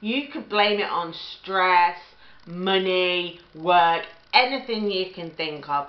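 A woman at a very slow pace, with audible room echo and music in the background. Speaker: relationship advice vlogger. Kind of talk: advice talk to camera. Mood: earnest, empathetic. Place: kitchen. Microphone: webcam.

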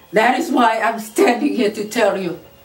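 A woman talks at a fairly slow pace, with faint music playing behind her. Audible room echo surrounds her voice. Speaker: preacher. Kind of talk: sermon.

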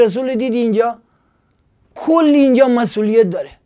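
Over a quiet background, a man with a Gilan accent speaks at a fairly quick pace in an extremely high pitch, his dark, mellow tone carrying ordinary pitch variation. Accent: Gilaki-accented Persian. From Iran, Gilan; Iran. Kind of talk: casual monologue with preaching. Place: studio. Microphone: lapel.

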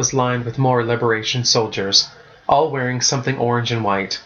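The delivery is an unforced reading voice. Its intonation is fairly even.

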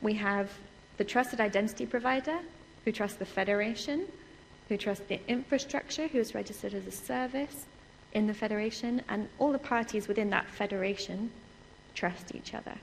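A woman talks at a fairly quick pace in an English accent, her pitch fairly high. Her pitch varies an ordinary amount, with light background noise behind her. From England. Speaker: research computing security specialist. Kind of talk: conference lecture. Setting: stage with audience. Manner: fast talker; animated. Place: hall.

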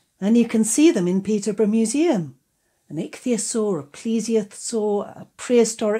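This is an unforced reading voice. The intonation is fairly even, and the background is quiet.

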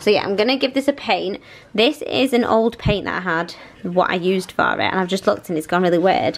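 A woman speaks at medium pitch and a fairly quick pace. Her voice shows vocal fry and ordinary pitch variation.

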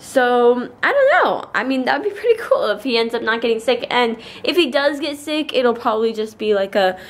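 At a fairly quick pace and with hardly any pauses, a woman talks in a high pitch. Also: ordinary pitch variation. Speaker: vlogger. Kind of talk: casual vlog chat. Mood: chatty, recovering from illness. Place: home room. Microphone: phone near.

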